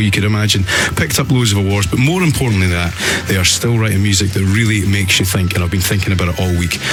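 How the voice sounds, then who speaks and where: Over music in the background and with audible room echo, a man with a Scottish accent talks at a very fast pace in a fairly low pitch with ordinary pitch variation. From Scotland. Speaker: radio host. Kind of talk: radio interview. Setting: radio studio.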